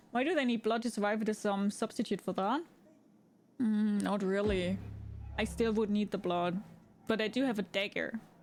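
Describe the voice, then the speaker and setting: In a German accent, a woman speaks at a medium pitch and moderate pace with very even loudness, fairly even intonation and long, frequent pauses. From Germany. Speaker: gaming streamer. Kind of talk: live gameplay stream chat. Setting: live stream.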